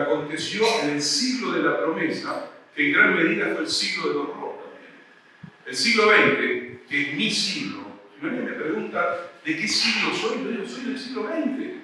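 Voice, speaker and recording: With audible room echo and noticeable background noise, a raised, projected voice moves at a fairly slow pace through very wide pitch swings. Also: man. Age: 60s. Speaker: philosophy professor. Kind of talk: lecture.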